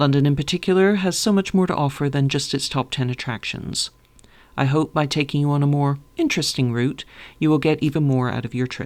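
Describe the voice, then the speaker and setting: The recording is very clean with a silent background. A woman speaks with a very deep, low pitch. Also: ordinary pitch variation, fairly quick pace. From Canada. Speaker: tour guide. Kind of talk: scripted narration.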